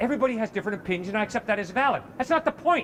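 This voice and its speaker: Speaking loudly and very fast in an American accent, a man with a high pitch swings very widely in pitch over noticeable background noise. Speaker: campus evangelist. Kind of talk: heated debate.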